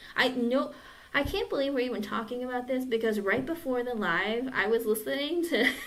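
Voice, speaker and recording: High-pitched female speech amid noticeable background noise and audible room echo. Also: ordinary pitch variation, fairly quick pace. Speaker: tarot reader. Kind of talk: live-stream tarot reading and casual chat. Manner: casual, chatty.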